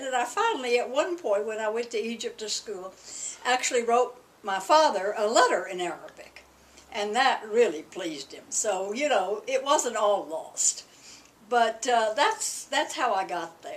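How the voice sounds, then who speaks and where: A woman with a Southern US accent speaks at a high pitch with very wide pitch swings. Her pace is moderate, with noticeable background noise behind her. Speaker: alumna. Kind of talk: oral history interview. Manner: halting.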